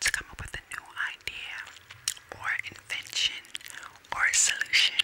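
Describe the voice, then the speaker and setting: Speaking fairly slowly, a woman whispers. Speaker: ASMR creator. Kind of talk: ASMR reading. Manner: whispered. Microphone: studio mic.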